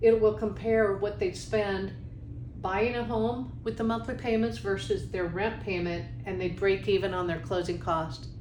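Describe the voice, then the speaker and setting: With lively intonation and audible room echo around her, a woman with a fairly low pitch speaks at a moderate pace. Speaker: mortgage industry presenter. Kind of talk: webinar tutorial.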